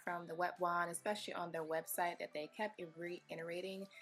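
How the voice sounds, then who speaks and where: Over music in the background, a woman speaks at a medium pitch and a moderate pace. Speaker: hair care vlogger. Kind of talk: casual talk to camera.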